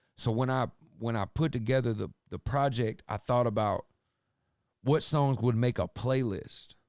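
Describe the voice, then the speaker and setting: Recorded very cleanly against a silent background, a man with an American accent talks at a moderate pace and medium pitch with fairly even intonation. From US South, Atlanta Georgia. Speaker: rapper. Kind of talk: casual interview chat.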